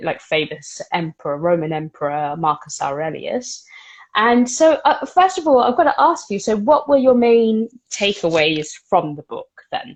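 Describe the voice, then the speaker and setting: With a British accent, the voice shows very wide pitch swings and big swings in loudness. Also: woman, fairly high pitch for a woman, moderate pace, quiet background. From Britain. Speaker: book podcast host. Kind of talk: casual book discussion. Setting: live video stream. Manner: hesitant, many fillers.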